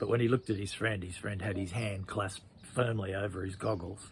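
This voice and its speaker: At a very fast pace, a man speaks in a fairly low, somewhat breathy voice with monotone, flat intonation. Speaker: children's storyteller. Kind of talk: children's story narration.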